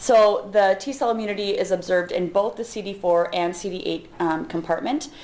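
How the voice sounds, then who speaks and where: A woman talks with ordinary pitch variation. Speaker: physician and professor. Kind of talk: lecture.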